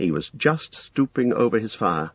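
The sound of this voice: Intonation stays lively as someone reads in an unforced voice.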